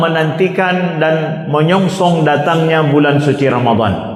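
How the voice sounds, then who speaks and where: With an Aceh accent, a man speaks fairly slowly at a high pitch with ordinary pitch variation, over noticeable background noise and audible room echo. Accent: Acehnese-accented Indonesian. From Aceh, Indonesia (Pidie). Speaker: Islamic preacher, mosque imam. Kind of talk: sermon. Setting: mosque, dawn gathering with audience.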